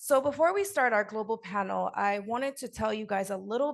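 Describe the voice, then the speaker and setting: Her pace moderate, a woman talks with an American accent. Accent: American-sounding, Nigerian accent underneath. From Nigeria, Lagos. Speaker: podcast host and sickle cell patient advocate. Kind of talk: panel talk, personal testimony.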